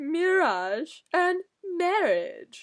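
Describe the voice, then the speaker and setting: The voice is a put-on character voice. Its pitch is extremely high. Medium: read story. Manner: jocular, patronizing.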